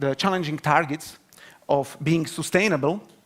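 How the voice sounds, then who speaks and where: Speaking at a moderate pace, a man talks with a Slovak accent. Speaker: university researcher. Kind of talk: conference talk. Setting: stage with audience. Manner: halting.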